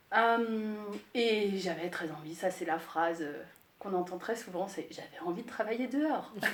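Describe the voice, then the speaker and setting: Audible room echo and noticeable background noise fill the clip. Through it, a woman speaks with ordinary pitch variation. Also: medium pitch for a woman, fairly slow pace. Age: 40s. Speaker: landscape gardener. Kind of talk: interview. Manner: hesitant, many filler sounds.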